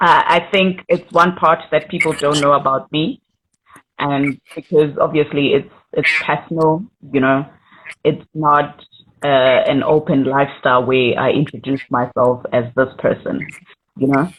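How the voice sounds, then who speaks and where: Speaking at a fairly slow pace with long, frequent pauses, a woman has a very deep, low pitch and fairly even intonation. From South Africa, Soweto. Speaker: singer-songwriter. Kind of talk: interview. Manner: halting, with repetitions.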